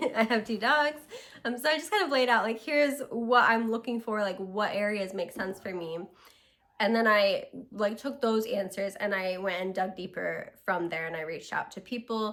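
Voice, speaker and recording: At a moderate pace, a woman with a fairly high pitch speaks with ordinary pitch variation over noticeable background noise. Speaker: vlogger. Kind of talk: casual vlog monologue. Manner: casual, filler-heavy.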